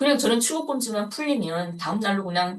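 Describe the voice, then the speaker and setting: A woman with lively intonation. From North Korea. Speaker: North Korean defector activist. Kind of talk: interview.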